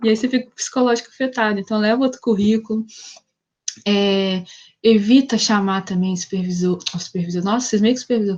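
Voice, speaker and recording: The delivery is very fast and somewhat breathy. Intonation stays fairly even. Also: woman, fairly high pitch for a woman. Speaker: psychologist, career talk guest. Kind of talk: online talk with Q&A. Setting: video call. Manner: casual, conversational.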